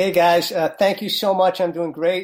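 Talking at a fairly quick pace, a man with a New York accent has a high pitch. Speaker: pastor and author. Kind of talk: interview.

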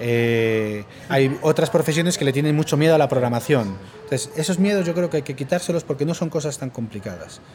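With music playing in the background, a man with a fairly high voice speaks fairly quickly and with lively intonation. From Spain. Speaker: university professor. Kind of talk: interview. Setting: recorded at a conference.

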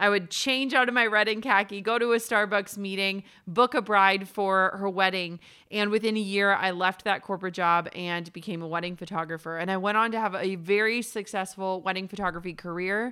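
With an American accent, a woman speaks at a fairly quick pace with hardly any pauses, medium pitch and fairly even intonation. Her tone is bright and sharp, on a very clean recording with a silent background. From Minnesota, US. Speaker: entrepreneur and podcast host. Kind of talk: interview.

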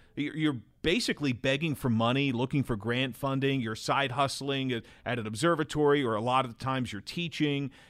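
A man with an American accent in a plain, everyday voice, medium-pitched with ordinary pitch variation and a fairly quick pace. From New Jersey. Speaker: TV baseball play-by-play announcer. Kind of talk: casual interview chat.

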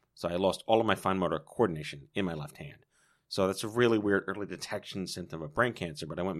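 The speech comes at a very fast pace with ordinary pitch variation and big swings in loudness. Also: man. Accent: American. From New York. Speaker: cancer survivor and patient advocate. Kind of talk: casual interview.

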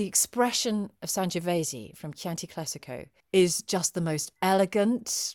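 A woman's medium-pitched voice unfolds at a fairly slow pace. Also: ordinary pitch variation. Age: 40s. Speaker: drinks writer and TV presenter. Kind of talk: casual chat. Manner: animated.

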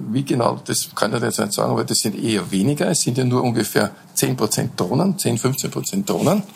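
This man's voice sits at a medium pitch but swings very widely up and down. His loudness stays very even throughout. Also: moderate pace. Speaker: beekeeper. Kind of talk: casual interview. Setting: hotel rooftop.

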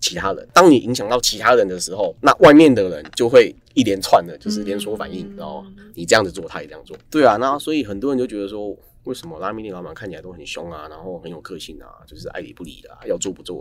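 A man speaks very fast. His volume rises and falls in big swings. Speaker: ramen shop owner, former engineer. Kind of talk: casual interview chat.

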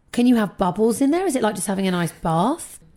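A woman with a British accent and a dark, mellow tone swings her pitch very widely, captured in a very clean recording with a silent background. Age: 30s. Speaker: podcast host. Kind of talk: casual chat.

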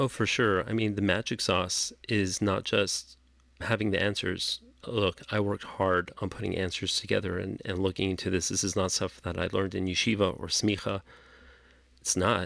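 Over a very clean recording with a silent background, a man with a Californian accent speaks in a fairly low pitch at a moderate pace, his intonation monotone and flat. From Los Angeles. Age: 40s. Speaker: rabbi. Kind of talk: interview. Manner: laid back.

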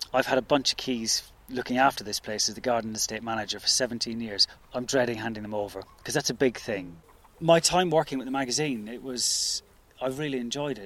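At a fairly quick pace, a man speaks in an unremarkable speaking voice of medium pitch, with ordinary pitch variation and big swings in loudness. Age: 40s. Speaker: head gardener and estate manager. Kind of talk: interview.

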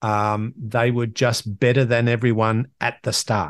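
A man with an Australian accent, medium pitch, fairly slow pace and monotone, flat intonation, in a dry, close sound with no echo over a quiet background. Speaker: podcast host. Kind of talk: solo monologue, motivational talk. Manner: conversational, motivational.

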